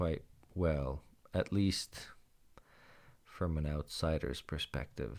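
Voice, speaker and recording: Very slowly and at a very deep, low pitch, a man speaks with ordinary pitch variation on a very clean recording with a silent background. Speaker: podcaster. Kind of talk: casual monologue. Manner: hesitant, with fillers.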